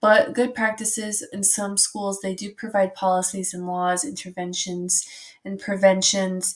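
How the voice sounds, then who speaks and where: Her loudness swings widely as the woman speaks at a fairly slow pace, with a medium pitch and fairly even intonation. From Minnesota. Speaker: student intern presenting a project. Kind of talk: recorded class presentation. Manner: hesitant, many fillers.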